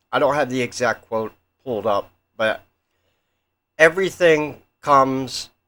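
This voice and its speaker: The speaker mumbles at a fairly slow pace, leaving long, frequent pauses. The tone is bright and sharp, with ordinary pitch variation. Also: man, medium pitch for a man. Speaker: conspiracy theory youtuber. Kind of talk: casual monologue. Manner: mumbling.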